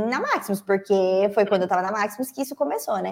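The woman speaking shows ordinary pitch variation. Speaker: journalist and online course teacher. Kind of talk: live-stream interview. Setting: live stream. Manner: animated.

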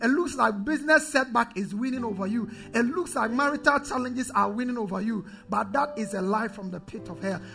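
Over noticeable background noise, a woman talks fairly quickly in an animated tone, her fairly high pitch showing ordinary variation. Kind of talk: sermon. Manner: animated, call-and-response, rousing, commanding the congregation to shout; exhorting in rising, declamatory cadence.

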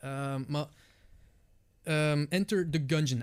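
Speaking at a very slow pace, a man with a Flemish accent uses a fairly high pitch. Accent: Flemish Dutch. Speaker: Twitch streamer. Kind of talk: casual chat. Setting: studio.

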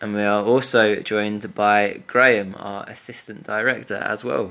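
Fairly low in pitch, a man talks with monotone, flat intonation. He leaves hardly any pauses. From Scotland, Glasgow East End. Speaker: podcast host for a mental health organisation. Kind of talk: casual chat.

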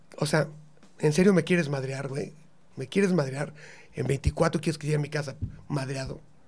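Somewhat breathy and fairly high-pitched, a man talks at a moderate pace with fairly even intonation and long, frequent pauses. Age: 50s. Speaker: comedian. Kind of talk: casual chat.

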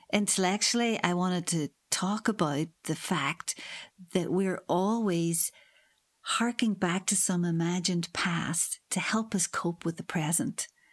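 A woman with a Northern Irish accent speaks at medium pitch and a fairly slow pace. Her pitch varies in an ordinary way while her loudness stays very even. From Northern Ireland. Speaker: history professor. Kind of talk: interview. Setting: remote call from her office.

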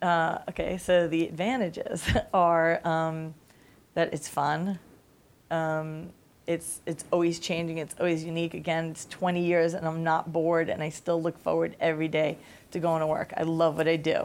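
Moderate pace and flat, monotone intonation, with a slight New York accent. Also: woman, fairly low pitch for a woman. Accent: New York accent, slight now. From Staten Island, New York. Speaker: music industry executive. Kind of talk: interview answers, talk to a student audience. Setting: campus seminar with audience.

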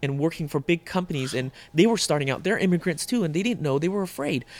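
On a very clean recording with a silent background, a man with a Mid-Atlantic US accent speaks at a fairly high pitch with ordinary pitch variation. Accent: American, US Mid-Atlantic. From Northern Virginia (moved from Vietnam at six). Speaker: chef and restaurant owner. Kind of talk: interview, casual conversation.

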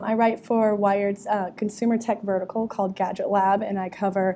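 In a dark, mellow tone, a woman speaks at a moderate pace and medium pitch with monotone, flat intonation. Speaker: tech journalist and podcast co-host.

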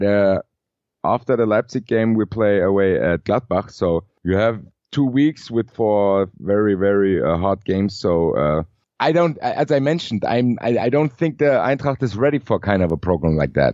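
A man with a fairly low pitch talks at a moderate pace with lively intonation and very even loudness. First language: German. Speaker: football fan and podcaster. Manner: halting, hesitant.

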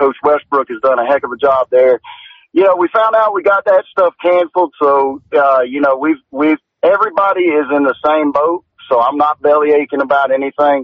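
A man with a Southern US accent, fairly high pitch, ordinary pitch variation and a moderate pace. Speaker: high school football head coach. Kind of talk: casual sports talk interview. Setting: phone call. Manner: animated.

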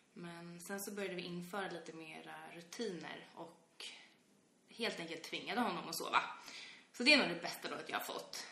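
A woman's fairly low voice at a moderate pace, ordinary pitch variation, big swings in loudness, audible room echo and noticeable background noise. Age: 20s. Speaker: podcast co-host, parent. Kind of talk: casual chat.

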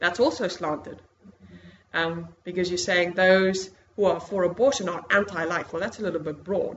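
A woman's medium-pitched voice with a South African accent and ordinary pitch variation. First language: Afrikaans. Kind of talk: lecture. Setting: stage with audience.

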